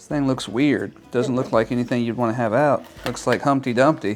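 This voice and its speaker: A man with an American accent, medium pitch and ordinary pitch variation, over music in the background. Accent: Texas accent, stronger when speaking slowly. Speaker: YouTuber reviewing products. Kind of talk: unboxing video. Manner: casual, chatty.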